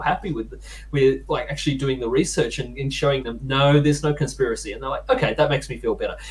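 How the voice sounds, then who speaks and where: Noticeable background noise accompanies a man talking in an Australian accent. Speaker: political podcast panelist. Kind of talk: casual chat.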